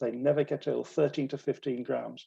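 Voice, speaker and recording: A man speaks with a British accent at a moderate pace. His pitch is fairly high and his intonation fairly even. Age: 70s. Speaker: retired dentist. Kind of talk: lecture.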